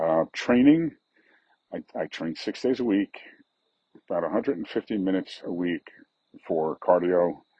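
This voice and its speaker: A man with fairly low pitch talks at a very slow pace, leaving long, frequent pauses. His intonation is lively. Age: 50s. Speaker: fitness coach and podcast host. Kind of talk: casual monologue. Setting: outdoors on a deck.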